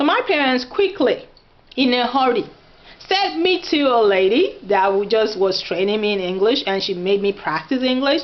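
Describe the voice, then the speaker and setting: Against noticeable background noise, a woman with a Nigerian accent speaks in an animated tone at a moderate pace, her high pitch swinging very widely while her loudness stays very even. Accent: Nigerian (Yoruba) English. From Nigeria, Oyo State (Yoruba). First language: Yoruba. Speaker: vlogger. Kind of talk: casual vlog talk.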